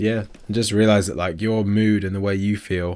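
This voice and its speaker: A man's fairly low voice at a very fast pace. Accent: English. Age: 20s. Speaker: fitness coach and podcast co-host. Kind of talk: casual chat.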